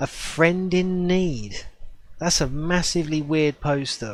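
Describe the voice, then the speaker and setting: A man speaks in a British accent. His intonation is fairly even. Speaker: gaming streamer. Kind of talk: casual chat during gameplay livestream.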